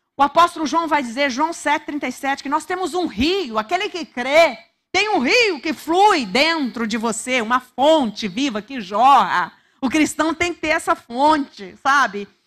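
Speaking at a fairly slow pace with a Brazilian accent, a woman uses a high pitch and very wide pitch swings against a quiet background. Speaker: preacher. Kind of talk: sermon. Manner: urgent, exhorting, repeating words for emphasis; fervent, direct address to listeners. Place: church. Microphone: handheld.

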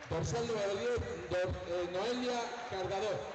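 Noticeable background noise accompanies a man speaking at a very slow pace. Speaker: arena announcer. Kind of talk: player introductions. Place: hall.

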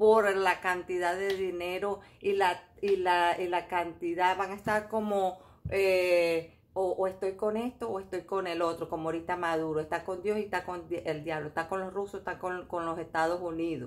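The speech moves at a moderate pace. Its intonation is fairly even. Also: woman. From Venezuela, Caracas. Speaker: tarot reader and YouTuber; tarot reader. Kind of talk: casual monologue commentary. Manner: halting, many fillers and repetitions. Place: home room. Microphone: phone near.

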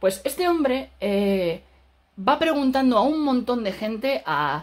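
Against a quiet background, a man speaks at a very slow pace with very wide pitch swings. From Spain. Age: 30s. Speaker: film critic YouTuber. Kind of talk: video review monologue. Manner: casual, halting with fillers. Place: home room. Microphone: phone near.

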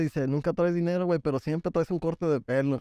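Very fast speech from a man with a dark, mellow tone. His intonation is fairly even, and the sound is dry with no echo. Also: quiet background. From Texas, Laredo; Texas. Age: 20s. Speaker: barber; podcast guest. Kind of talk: casual interview. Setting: informal gathering with beers. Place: shop. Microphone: studio mic.

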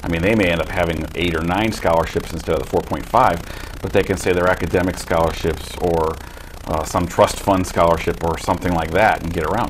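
This man has a very deep, low pitch and a fairly quick pace. His intonation stays fairly even over light background noise. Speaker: newspaper sports reporter. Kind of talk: panel discussion. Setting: studio. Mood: relaxed, conversational. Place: studio. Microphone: lapel.

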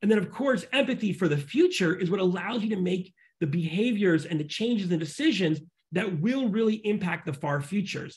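Over a quiet background, a man talks fairly quickly in a high voice with lively intonation. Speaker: futurist and author; guest. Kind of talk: interview conversation; interview answer. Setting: video call. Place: home room. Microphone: video call.

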